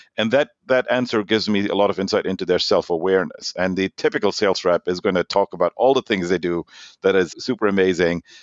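A man's fairly low voice in a German accent, very fast pace, ordinary pitch variation. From Germany and Norway. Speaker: sales executive. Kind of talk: interview. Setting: remote call.

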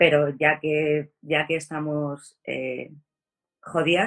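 A woman speaks in a very deep, low-pitched voice. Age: 40s. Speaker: chronic pain patient advocate. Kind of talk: interview conversation.

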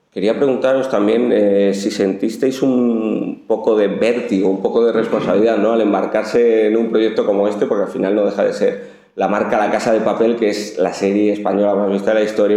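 A man talks at a fairly quick pace in a fairly low pitch. Room echo can be heard. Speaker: journalist interviewer. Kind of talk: interview.

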